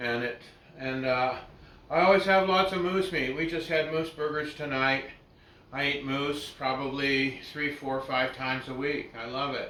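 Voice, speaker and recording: At a moderate pace, a man speaks with a fairly high pitch and fairly even intonation. There is audible room echo and noticeable background noise. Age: 70s. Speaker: butcher. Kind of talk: casual chat. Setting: butcher shop. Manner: halting.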